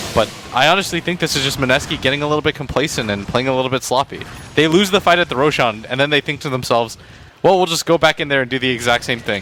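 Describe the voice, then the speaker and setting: A man's fairly high voice at a very fast pace, with ordinary pitch variation over noticeable background noise. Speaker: esports color commentator. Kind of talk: live commentary.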